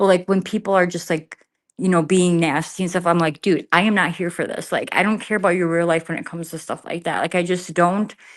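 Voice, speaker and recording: A woman's fairly low-pitched voice at a very fast pace, monotone and flat, on a very clean recording with a silent background. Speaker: live streamer. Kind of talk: casual chat. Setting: livestream from an empty garage. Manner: trying to keep voice down.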